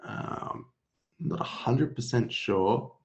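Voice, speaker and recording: A man with a medium pitch sounds somewhat breathy, and his intonation is lively. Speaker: software webinar host. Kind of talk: webinar Q&A. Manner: low-energy.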